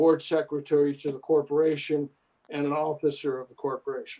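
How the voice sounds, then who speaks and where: A man's fairly high-pitched voice comes through at a fairly quick pace. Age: 70s. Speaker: HOA board president chairing meeting. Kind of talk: meeting chairing. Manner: halting.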